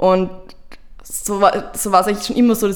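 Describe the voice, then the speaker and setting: A woman's normal speaking voice at a fairly quick pace. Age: 20s. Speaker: youth politician. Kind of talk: interview.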